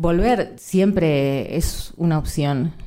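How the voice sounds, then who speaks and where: A dark, mellow tone with a Rioplatense accent. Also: woman. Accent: Argentine Spanish (rioplatense). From Argentina. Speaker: journalist. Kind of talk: live panel conversation. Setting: stage with audience.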